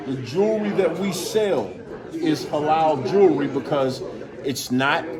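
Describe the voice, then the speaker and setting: With noticeable background noise and audible room echo, a man speaks at a fairly slow pace in a fairly high voice with lively intonation. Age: 50s. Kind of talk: casual interview. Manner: animated.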